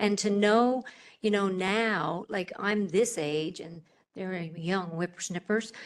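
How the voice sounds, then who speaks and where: Against a quiet background, a woman of medium pitch speaks in a normal speaking voice. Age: 60s. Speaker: panel speaker at health event. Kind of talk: panel Q&A. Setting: live event with audience.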